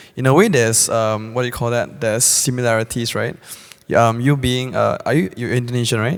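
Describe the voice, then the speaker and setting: Fairly quick speech from a man, medium in pitch, ordinary in pitch variation. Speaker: audience member. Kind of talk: audience question. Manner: halting.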